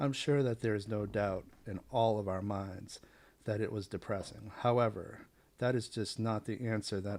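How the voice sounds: The reading voice is natural, and its intonation remains fairly even.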